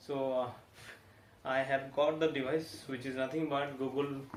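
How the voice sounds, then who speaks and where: With an Indian accent, a man speaks at a medium pitch and fairly slow pace in a monotone, flat delivery, with audible room echo and noticeable background noise. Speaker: tech reviewer. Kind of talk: product review. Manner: halting, many fillers.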